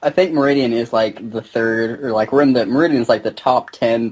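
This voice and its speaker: Speaking at a very fast pace, a man at medium pitch with a slight Southern US accent shows ordinary pitch variation. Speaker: gaming video maker. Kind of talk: casual chat. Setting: video call.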